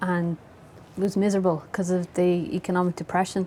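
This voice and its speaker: A woman with a Dublin accent speaks at medium pitch in a dark, mellow tone. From Dublin, Ireland (Howth). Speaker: novelist. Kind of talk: interview conversation.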